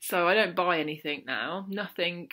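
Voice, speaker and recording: At a fairly slow pace, a woman with a South London accent speaks in a bright, sharp tone at a fairly low pitch with ordinary pitch variation, captured on a very clean recording with a silent background. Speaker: mental health vlogger. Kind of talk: casual talk to camera.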